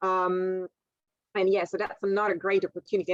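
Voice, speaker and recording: A woman with a non-native accent, recorded in a dry, close sound with no echo. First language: not English. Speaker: scientist, university researcher. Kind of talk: career talk to school class. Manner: halting, with many repetitions and fillers.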